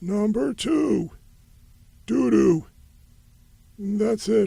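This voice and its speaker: A man puts on a cartoonish character voice. His pitch sits high. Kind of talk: comedic rambling monologue.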